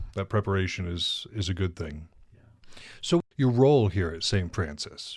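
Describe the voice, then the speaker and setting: This man has a plain, everyday voice with an American accent. He talks at a moderate pace with lively intonation. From northern Montana. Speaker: podcast host. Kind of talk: casual interview.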